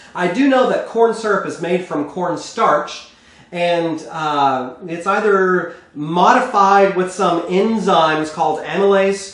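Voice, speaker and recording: Someone with an American accent speaks at a fairly slow pace with ordinary pitch variation, with audible room echo and noticeable background noise. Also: man. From Texas. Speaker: cooking show host. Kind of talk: cooking tutorial. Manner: conversational.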